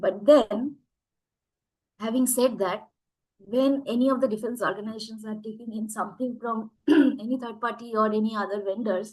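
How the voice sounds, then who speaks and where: Somewhat breathy speech from a woman at a fairly high pitch and fairly quick pace, long, frequent pauses, fairly even intonation. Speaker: AI speaker. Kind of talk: webinar talk.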